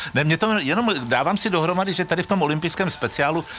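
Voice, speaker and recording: Over noticeable background noise, the speaker races along at a very fast pace with lively intonation. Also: man. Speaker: radio sports host. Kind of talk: radio interview. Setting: outdoor festival stage.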